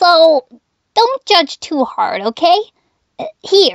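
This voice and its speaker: A put-on character voice at an extremely high pitch and a very slow pace. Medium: dub. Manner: stammering, nervous, hesitant.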